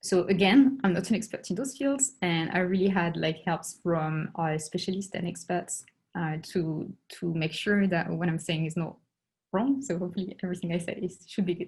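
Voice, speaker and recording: Somewhat breathy, a woman with a French accent speaks at a fairly low pitch. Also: ordinary pitch variation, moderate pace. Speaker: astronomer. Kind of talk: lecture. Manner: halting.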